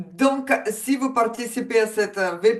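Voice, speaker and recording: A woman with a Ukrainian accent talks over noticeable background noise. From Ukraine. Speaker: coach. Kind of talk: webinar presentation.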